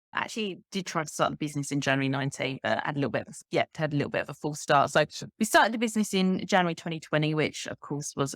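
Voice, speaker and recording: A woman with an English accent speaks at a very deep, low pitch with ordinary pitch variation and hardly any pauses, in a dry, close sound with no echo on a very clean recording with a silent background. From Kent, south-east England. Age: 30s. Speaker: life coach and author. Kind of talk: podcast interview.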